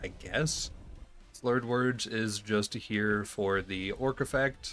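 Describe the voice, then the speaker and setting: Over music in the background, a man with an American accent speaks at a very slow pace in a relaxed tone. His pitch is fairly low and his intonation fairly even. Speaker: gaming YouTuber. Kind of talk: gameplay commentary. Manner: casual, relaxed.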